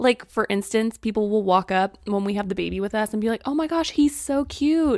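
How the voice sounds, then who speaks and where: An ordinary speaking voice moves at a fairly quick pace with lively intonation and hardly any pauses, in a dry, close sound with no echo. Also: woman, fairly high pitch for a woman. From Springfield, Missouri. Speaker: content creator. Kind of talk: casual chat.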